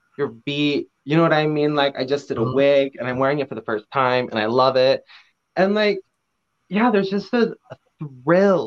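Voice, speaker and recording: With an American accent, a man speaks in a fairly high pitch with lively intonation. His moderate pace is broken by long, frequent pauses. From rural southern Idaho. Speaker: drag performer. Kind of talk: casual interview. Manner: animated, filler-heavy.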